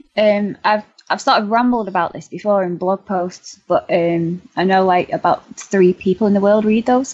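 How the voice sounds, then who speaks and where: This woman speaks with a Manchester accent. Her pitch shows ordinary variation. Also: medium pitch for a woman, moderate pace, hardly any pauses. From Manchester, England. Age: 20s. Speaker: blogger and author.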